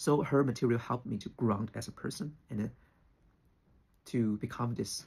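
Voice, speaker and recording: With a Chinese accent, a man speaks at a fairly low pitch with ordinary pitch variation. His voice has vocal fry and a dark, mellow tone. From China. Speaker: spiritual teacher, YouTuber. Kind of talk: personal opinion monologue. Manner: halting, with fillers.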